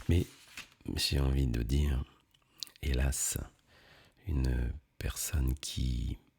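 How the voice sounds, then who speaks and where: Whispering in a calm tone, a soft-spoken man sounds somewhat breathy and moves at a very slow pace with long, frequent pauses. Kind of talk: ASMR talk to camera. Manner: soft-spoken, between whisper and normal voice; slow, calm.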